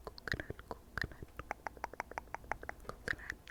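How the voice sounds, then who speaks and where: Noticeable background noise accompanies a whisper that moves at a moderate pace. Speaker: ASMR creator. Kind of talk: unscripted TV show ramble. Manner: whispered; casual, rambling.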